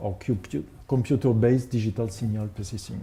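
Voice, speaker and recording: Speaking with a French accent, a man uses a dark, mellow, somewhat breathy tone and a fairly low pitch with ordinary variation, at a moderate pace. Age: 50s. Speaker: composer. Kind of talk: presentation. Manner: halting.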